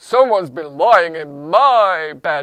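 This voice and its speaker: Someone speaks in a put-on character voice at middle pitch. The pace is fairly slow. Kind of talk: storytelling, performed for listeners.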